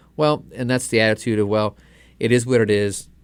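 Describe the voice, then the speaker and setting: This man speaks at a very fast pace with a fairly low pitch. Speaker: radio host and naturopathic doctor. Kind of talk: radio health talk. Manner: sometimes mumbles words.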